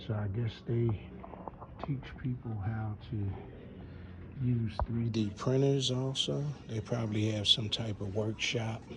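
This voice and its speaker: Against noticeable background noise, a man with a medium pitch speaks at a very slow pace. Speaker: vlogger. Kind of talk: casual walking tour vlog. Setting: indoors in a library. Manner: animated; lowered voice.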